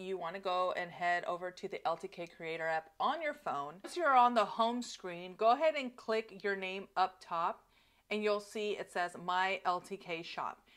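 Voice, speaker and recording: A woman speaks at a fairly slow pace with lively intonation. The background is quiet. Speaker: influencer creator. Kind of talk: tutorial. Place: home room. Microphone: lapel.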